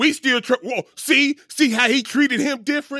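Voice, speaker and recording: Furious male speech at a moderate pace, dry and close with no echo, in a very clean recording with a silent background. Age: 40s. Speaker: podcast co-host. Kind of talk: angry rant. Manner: furious, swearing, hammering out rhetorical questions.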